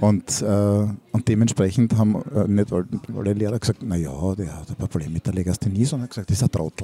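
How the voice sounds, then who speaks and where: The pace is fairly quick. This man's pitch rises and falls in an ordinary way. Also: fairly low pitch for a man. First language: Hungarian and German (bilingual) (speaking German). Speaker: teacher and podcast co-host. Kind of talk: casual chat. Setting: school cafeteria.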